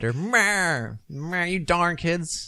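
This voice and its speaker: A man does a put-on character voice at a high pitch. The intonation is lively. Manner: grumpy, bitter, scolding.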